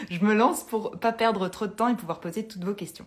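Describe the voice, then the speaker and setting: The woman's voice is somewhat breathy. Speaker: Instagram live host, interior decoration talk. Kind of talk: casual live chat. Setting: Instagram live video stream.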